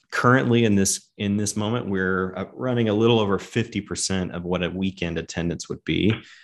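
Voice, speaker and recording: Against a quiet background, a man with an American accent speaks at a fairly quick pace. He has an ordinary speaking voice, fairly low in pitch, with ordinary pitch variation. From US South. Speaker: pastor. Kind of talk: interview.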